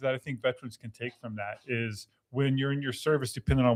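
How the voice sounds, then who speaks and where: Here is a man at medium pitch. He has an ordinary speaking voice. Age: 50s. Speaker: university veteran services staff. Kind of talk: casual chat.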